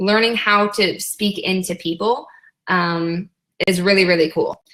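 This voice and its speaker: The tone is bright and sharp, with ordinary pitch variation. Loudness stays very even. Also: woman. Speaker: online business coach. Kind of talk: live webinar training. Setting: live webinar. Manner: animated.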